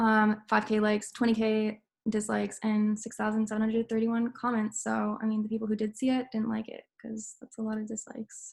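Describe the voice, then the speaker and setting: Recorded very cleanly over a silent background, a somewhat breathy woman speaks at a fairly quick pace in a fairly high pitch with monotone, flat intonation. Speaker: student presenter. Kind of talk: class presentation. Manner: fast.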